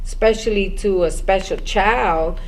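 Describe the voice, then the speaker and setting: Ordinary pitch variation against audible room echo and noticeable background noise. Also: woman. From Brooklyn, New York, US. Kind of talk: personal testimony.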